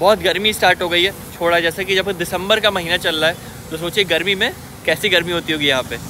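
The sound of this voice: Over faint background noise, a man talks fast in a bright, sharp tone at a high pitch for a man. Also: fairly even intonation.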